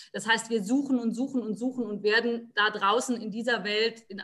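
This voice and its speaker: A woman's fairly high, monotone voice with flat intonation at a moderate pace. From Palatinate, Germany. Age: 20s. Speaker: psychology student and motivation coach. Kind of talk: interview.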